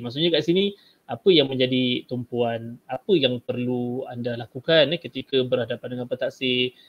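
The speaker has a plain, everyday voice, moving at a moderate speed with ordinary shifts in pitch. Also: man. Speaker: Malay language teacher. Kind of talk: tutorial, exam technique talk. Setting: video call webinar, screen share.

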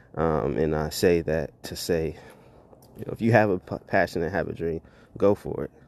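Speaking at a fairly quick pace, a man with a very deep, low pitch comes through on a very clean recording with a silent background. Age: 30s. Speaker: podcaster and father. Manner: softens voice and whispers when talking to his son.

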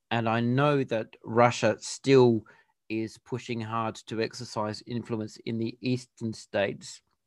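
Very clean and silent in the background, this recording has a dry, close sound with no echo. A man with an Australian accent speaks at a medium pitch in a monotone, flat intonation. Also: fairly slow pace. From Western Australia. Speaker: podcast interviewer. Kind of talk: casual interview.

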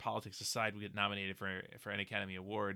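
A man talks at a very fast pace with a Pennsylvania accent. His tone is bright and sharp. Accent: Pennsylvania American. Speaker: podcast co-host. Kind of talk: casual chat.

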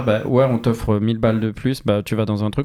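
A man's medium-pitched, dark, mellow voice at a fairly quick pace, with fairly even intonation, in a very clean recording over a silent background. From southern France. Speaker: podcast host. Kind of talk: casual interview.

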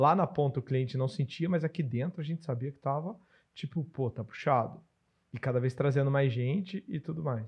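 A man is speaking at a moderate pace. His voice is somewhat breathy. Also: fairly high pitch for a man, ordinary pitch variation. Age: 40s. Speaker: podcast host and business consultant. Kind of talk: casual podcast chat.

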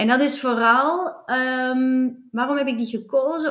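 This woman speaks in a Flemish accent at a high pitch. Her tone is energetic, bright and sharp. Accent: Flemish Belgian Dutch. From Flanders, Belgium. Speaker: commercial director. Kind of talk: interview.

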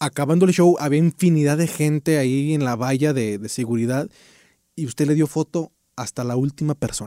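This man has a fairly high pitch and a dark, mellow tone, talking at a moderate pace with ordinary pitch variation in a dry, close sound with no echo. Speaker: podcast host and comedian. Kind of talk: casual interview.

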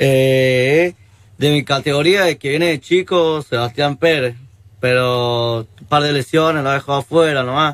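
Here a man speaks at a fairly slow pace with fairly even intonation. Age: 20s. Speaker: young rugby player. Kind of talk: casual interview.

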